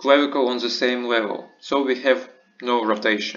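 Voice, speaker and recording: Spoken at a very slow pace, the voice carries audible room echo. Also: man. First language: not English. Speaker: medical lecturer. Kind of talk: lecture. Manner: halting.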